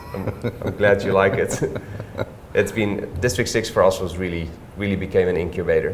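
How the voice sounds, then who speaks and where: With a Dutch accent, a man at a fairly low pitch speaks at a moderate pace in a monotone, flat intonation, amid audible room echo and noticeable background noise. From Netherlands, Staphorst. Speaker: hotelier and property developer. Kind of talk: interview. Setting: co-working office.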